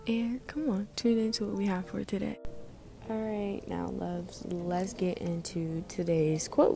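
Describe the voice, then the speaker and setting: Music plays in the background as a woman speaks in a calm tone. Her pace is fairly slow. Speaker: podcast host. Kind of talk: casual podcast talk. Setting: library. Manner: calm, peaceful; slightly raised.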